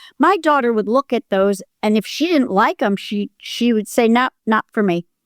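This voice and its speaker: A woman speaks at a moderate pace with lively intonation, in a dry, close sound with no echo on a very clean recording with a silent background. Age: 60s. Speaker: acting teacher and coach sharing hoarding recovery. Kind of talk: interview.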